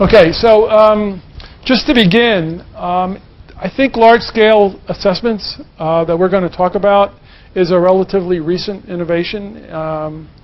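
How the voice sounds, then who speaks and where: A man with an American accent speaks in a high pitch with ordinary pitch variation. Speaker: assessment researcher. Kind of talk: conference presentation. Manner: fast.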